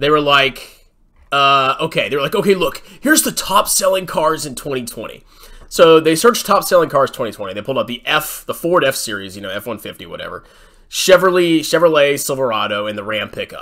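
A man speaks fast-ish with a bright, sharp tone, his pitch swinging very widely and his loudness rising and falling a lot. Behind him the background is quiet. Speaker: finance commentator. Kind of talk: mocking screen-share commentary. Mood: sarcastic, mocking.

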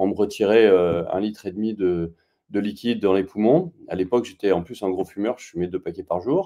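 A man talks at a moderate pace in a fairly low, dark, mellow voice with ordinary pitch variation. His loudness swings widely against a quiet background. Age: 40s. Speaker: real estate worker turned photographer; interview guest. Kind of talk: testimony interview. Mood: calm, reflective. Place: home room. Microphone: video call.

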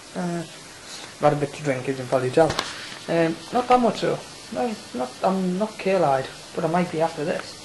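A man mumbles with high pitch and lively intonation, pausing long and often. Noticeable background noise is present. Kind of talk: casual video diary to camera. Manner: mumbling.

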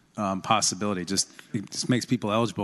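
A man with a fairly low pitch talks at a fairly quick pace, his intonation fairly even. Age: 40s. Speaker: state senator. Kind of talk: legislative floor debate. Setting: legislative chamber. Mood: calm, persuasive. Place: hall.

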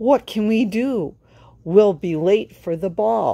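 Slowly and with lively intonation, a woman uses a put-on character voice at medium pitch, her tone dark and mellow with vocal fry.

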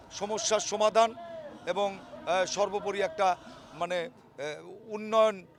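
This man's voice is pitched high. He keeps his intonation fairly even. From Tangail, Bangladesh. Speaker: politician. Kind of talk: interview.

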